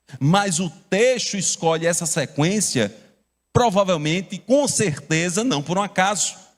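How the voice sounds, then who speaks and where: Speaking with a Paraíba accent, a man with a high pitch talks at a fairly slow pace and with lively intonation in a very clean recording with a silent background. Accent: Paraíba (northeastern Brazilian). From Brazil, Paraíba (João Pessoa). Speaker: pastor. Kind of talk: sermon.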